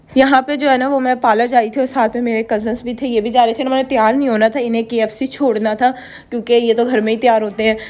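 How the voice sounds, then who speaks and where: A woman speaks very fast with hardly any pauses. Her high voice stays monotone and flat. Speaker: vlogger. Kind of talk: vlog voiceover narration. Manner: casual, chatty.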